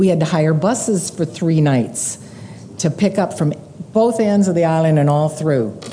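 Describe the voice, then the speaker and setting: A woman at a moderate pace, lively in intonation and very even in loudness, over noticeable background noise. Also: fairly low pitch for a woman. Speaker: missionary. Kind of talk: ministry report to a church. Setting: church with audience.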